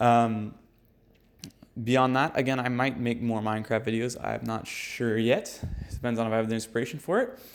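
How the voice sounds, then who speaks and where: The man's intonation stays fairly even. His voice sits at a medium pitch. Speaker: gaming YouTuber. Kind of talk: tutorial. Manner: fast; casual with fillers. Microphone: mic died, poor substitute audio.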